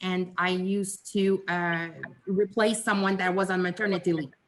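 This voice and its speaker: A woman with an unremarkable speaking voice at a medium pitch. She talks at a fairly slow pace. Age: 30s. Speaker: mining company employee. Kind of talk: personal testimony.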